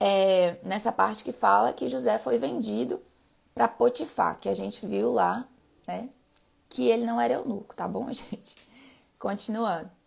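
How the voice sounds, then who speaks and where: A woman with vocal fry speaks at a fairly slow pace in a fairly low pitch, her pitch swinging very widely, with long, frequent pauses. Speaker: Bible reading live streamer. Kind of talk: casual chat.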